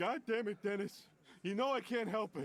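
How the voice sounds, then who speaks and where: Using a put-on character voice, a man sounds whiny at a high pitch. His pace is moderate and his pitch variation ordinary. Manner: whining, pleading.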